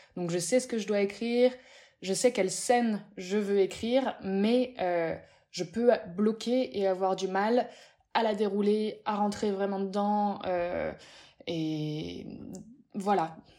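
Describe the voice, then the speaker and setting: On a very clean recording with a silent background, a woman with a dark, mellow tone speaks at medium pitch and a very slow pace, with ordinary pitch variation and long, frequent pauses. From Paris, Pigalle. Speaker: novelist. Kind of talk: interview.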